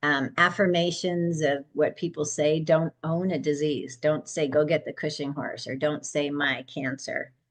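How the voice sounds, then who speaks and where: Music plays in the background as a woman speaks at a very deep, low pitch with fairly even intonation. Her pace is fairly slow, with hardly any pauses. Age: 60s. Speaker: holistic horse care practitioner. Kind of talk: casual interview.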